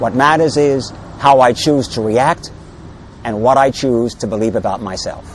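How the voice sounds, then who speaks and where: A man's voice, with ordinary pitch variation, keeps a moderate tempo against noticeable background noise. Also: medium pitch for a man. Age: 60s. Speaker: patient giving testimony. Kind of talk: testimony. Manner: halting.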